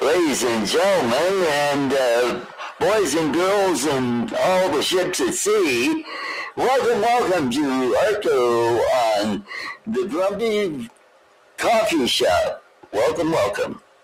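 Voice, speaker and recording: A man's high-pitched, put-on character voice at a very slow pace. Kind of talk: broadcast announcer.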